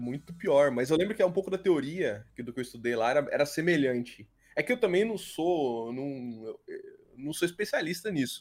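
A man with an ordinary speaking voice talks at a fairly high pitch with lively intonation. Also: moderate pace. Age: 30s. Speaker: YouTuber and engineer. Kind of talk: casual chat.

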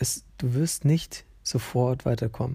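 Somewhat breathy, a man speaks at a medium pitch in a dark, mellow tone with fairly even intonation. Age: 20s. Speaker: podcast host. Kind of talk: casual monologue. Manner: hesitant, many fillers.

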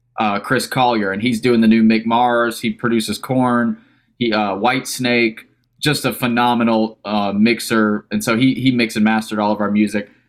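This man has an unremarkable speaking voice. He keeps to a medium pitch at a moderate pace. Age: 20s. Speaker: rock guitarist and band founder. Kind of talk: casual interview. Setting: remote call.

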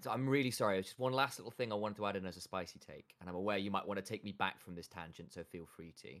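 A man with a fairly low pitch talks at a very fast pace with hardly any pauses. His loudness swings widely, while his pitch varies in an ordinary way. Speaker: esports podcast co-host. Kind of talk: casual chat. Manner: joking, playful.

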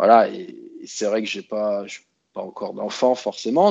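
Over a quiet background, a man talks at a moderate pace and medium pitch in an ordinary speaking voice. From France, Grenoble (Alps). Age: 30s. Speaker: expat interviewee. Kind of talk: interview conversation.

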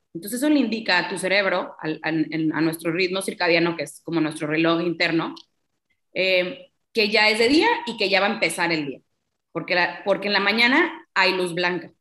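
Speaking at a moderate pace, a woman of medium pitch has a bright, sharp tone and ordinary pitch variation. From Mexico, Tampico, Tamaulipas. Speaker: sleep coach. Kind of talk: interview.

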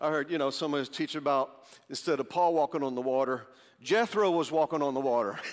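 A plain, everyday voice at a fairly quick pace, with ordinary pitch variation. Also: man, fairly high pitch for a man. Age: 50s. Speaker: pastor. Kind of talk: sermon.

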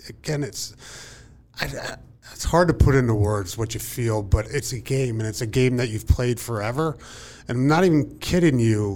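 Here a man with an American accent has an unremarkable speaking voice, a medium pitch, ordinary pitch variation and a moderate pace. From rural Pennsylvania. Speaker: former NFL player, company employee. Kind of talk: casual panel chat. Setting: studio.

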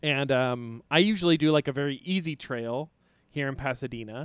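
The recording is very clean, with a silent background and a dry, close sound with no echo. A man with an unremarkable speaking voice and fairly high pitch talks at a moderate pace with ordinary pitch variation. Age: 30s. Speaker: comedian. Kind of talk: casual chat.

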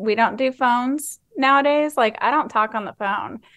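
She talks at a moderate pace. The woman has a Texan accent. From Texas, Fort Worth. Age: 30s. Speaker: nurse practitioner and med spa owner. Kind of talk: interview.

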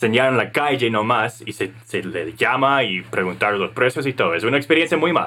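A man with an English accent and a bright, sharp tone. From United States. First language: English (speaking Spanish). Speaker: podcast co-host, entrepreneur. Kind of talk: casual business chat.

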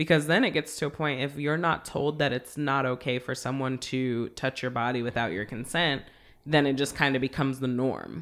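Fairly even intonation carries the speech along at a moderate pace. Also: woman, very deep, low pitch for a woman. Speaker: podcast host. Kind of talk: casual chat.

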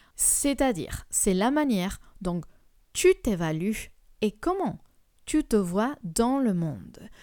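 Over a silent background on a very clean recording, a woman speaks at a very slow pace with long, frequent pauses. Her dark, mellow tone sits fairly high in pitch and swings very widely. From Colombia. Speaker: life coach, podcast host. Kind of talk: solo podcast talk on personal development.

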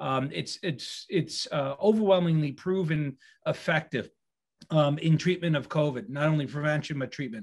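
Fairly high, somewhat breathy voice of a man. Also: ordinary pitch variation, moderate pace. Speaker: physician. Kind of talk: medical update and interview.

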